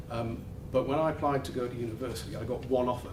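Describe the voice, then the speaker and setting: A man's very fast speech, with noticeable background noise and audible room echo. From northern England. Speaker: law firm office head. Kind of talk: welcome speech. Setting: office event with live audience.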